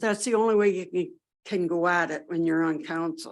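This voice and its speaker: With a normal speaking voice, a woman talks at a moderate pace and medium pitch, using ordinary pitch variation, in a very clean recording with a silent background. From southwestern Ontario, Canada. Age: 60s. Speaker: municipal council candidate. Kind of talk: candidate interview statement.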